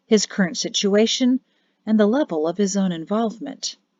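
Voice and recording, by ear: The background is quiet as the speaker is reading aloud in a natural voice.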